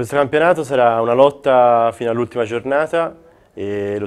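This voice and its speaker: A man uses a normal speaking voice, keeping a moderate tempo and ordinary pitch variation. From Florence, Italy. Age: 20s. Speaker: basketball player. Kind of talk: interview.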